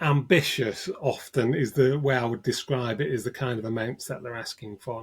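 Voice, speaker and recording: A man talks with a northern English accent. His pitch is medium and his pace fairly quick. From northern England. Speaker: cybersecurity expert, ransomware negotiator. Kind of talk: interview.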